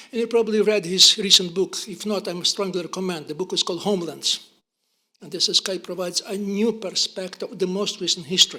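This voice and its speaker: Speaking in a raised, projected voice with a Ukrainian accent, a man talks at a fairly quick pace with high pitch and fairly even intonation. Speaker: historian, professor. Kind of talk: lecture. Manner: fast; halting, stammering.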